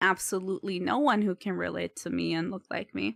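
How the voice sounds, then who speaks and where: A woman at medium pitch with vocal fry and a moderate pace, in a dry, close sound with no echo and a very clean recording with a silent background. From US, Mexican-American farming family. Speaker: streamer. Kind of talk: casual chat. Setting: live stream. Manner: halting.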